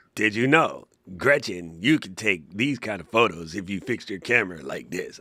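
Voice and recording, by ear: A raspy, put-on character voice from a man, fairly low-pitched, at a moderate pace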